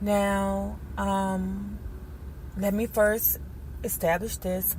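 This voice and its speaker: Someone talks with an American accent, and audible room echo surrounds the voice. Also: woman. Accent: DC twang, some hear New Orleans. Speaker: YouTuber. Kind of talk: casual vlog monologue. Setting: in a car on the way to work. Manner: hesitant, many fillers.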